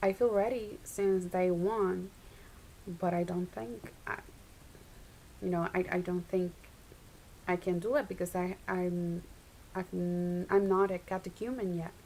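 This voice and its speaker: Speaking in a Spanish accent at a fairly slow pace, the voice shows ordinary pitch variation and takes long, frequent pauses. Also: woman, medium pitch for a woman. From Puerto Rico. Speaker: Orthodox convert. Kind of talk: testimony.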